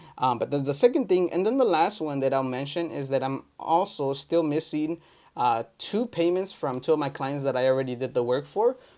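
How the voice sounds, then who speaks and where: The speaker has a Spanish accent and moves at a fairly quick pace with hardly any pauses. Pitch varies in an ordinary way, and the recording is very clean with a silent background. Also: man, fairly high pitch for a man. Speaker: entrepreneur vlogger. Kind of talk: casual vlog update. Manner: casual with many fillers.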